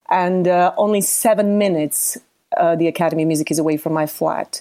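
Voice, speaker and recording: In a very clean recording with a silent background, a woman speaks with a Bosnian accent at a moderate pace. Her pitch is fairly low and her intonation fairly even. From Bosnia, Sarajevo. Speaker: musician. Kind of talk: testimony.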